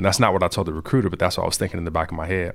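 On a very clean recording with a silent background, a man with an American accent speaks at a very deep, low pitch. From Compton, Los Angeles, California. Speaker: software engineer. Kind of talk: interview.

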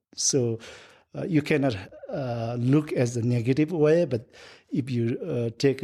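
A man with a Nepali accent speaks at a medium pitch with ordinary pitch variation and a dark, mellow tone. The recording is very clean, with a silent background. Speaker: guest, Sherpa guide. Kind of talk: casual interview. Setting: home in Boulder. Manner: halting, many fillers.

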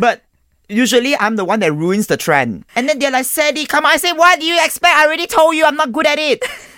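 In a raised, projected voice with an extremely high pitch, a man talks at a very fast pace, his tone bright, sharp and animated and his intonation lively. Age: 30s. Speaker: food content creator. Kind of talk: casual chat.

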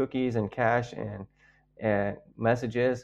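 A man with an American accent, a normal speaking voice, at a fairly slow pace. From Texas, San Antonio. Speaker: pastor. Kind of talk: testimony.

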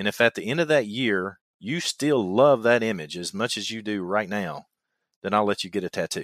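A man with a Kentucky accent, fairly low in pitch with ordinary pitch variation, at a moderate pace, in a very clean recording with a silent background and a dry, close sound with no echo. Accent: Kentucky twang. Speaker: survival instructor and podcast host. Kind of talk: casual podcast conversation.

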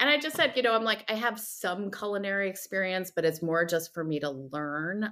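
The tone is bright and sharp, with lively intonation and an American accent. The pace is fairly quick, with hardly any pauses. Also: woman, medium pitch for a woman. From New Jersey, US. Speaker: food writer and editor. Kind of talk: interview.

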